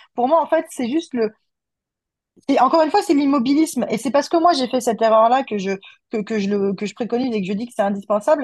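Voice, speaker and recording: Somewhat breathy and very fast, a woman speaks with lively intonation against a quiet background. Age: 30s. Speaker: communication agency owner. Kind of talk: casual interview chat.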